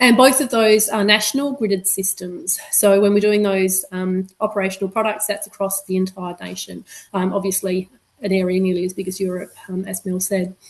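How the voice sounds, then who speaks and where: Talking at a fairly quick pace, a woman with an Australian accent keeps a medium pitch and fairly even intonation. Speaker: meteorologist. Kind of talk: webinar presentation. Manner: fast.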